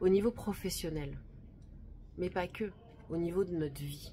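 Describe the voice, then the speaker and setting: A woman speaks in a dark, mellow tone that is somewhat breathy. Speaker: tarot card reader. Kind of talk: monthly tarot energy reading. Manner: calm, measured; slower than usual.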